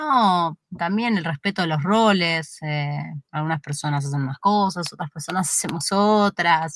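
A woman speaks in an ordinary speaking voice, fairly low in pitch, at a fairly slow pace with hardly any pauses. The sound is dry and close with no echo, and her pitch variation is ordinary. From Buenos Aires, Argentina (Flores). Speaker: YouTube creator. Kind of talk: interview conversation.

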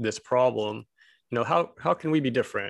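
With an American accent, a man speaks in an ordinary speaking voice at a medium pitch. His pace is moderate, his pitch variation ordinary and the background quiet. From Texas (Abilene), Korean American. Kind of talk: casual discussion.

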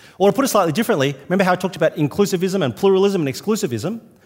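A man speaks with an Australian accent. His pitch is high and his pace very fast. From New South Wales, Australia. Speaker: visiting minister. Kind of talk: sermon. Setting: church.

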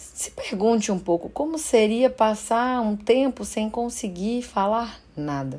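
A woman speaks very slowly in a fairly high pitch, her tone dark and mellow and her pitch varying in an ordinary way. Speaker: podcast host and psychologist. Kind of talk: reflective monologue.

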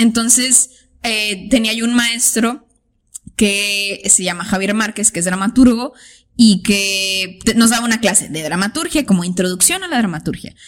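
Speaking fairly slowly, the voice carries a somewhat breathy quality. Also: woman, fairly high pitch for a woman, ordinary pitch variation. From Tijuana, Mexico. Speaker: artist. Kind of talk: casual chat.

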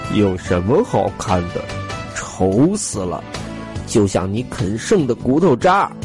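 Over loud music in the background, a man does a gruff, put-on character voice. It sits at a fairly low pitch, with a fairly slow pace and long, frequent pauses. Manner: dismissive, sulky.

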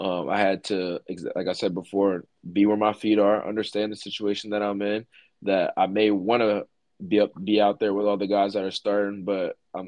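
A fairly low-pitched man talks at a moderate pace in a monotone, flat intonation. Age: 20s. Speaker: college football player development coach, former player. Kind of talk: interview.

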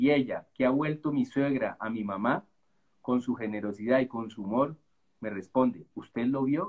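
A man with a medium pitch talks at a fairly slow pace in a plain, everyday voice. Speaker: novelist. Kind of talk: reading aloud; casual chat.

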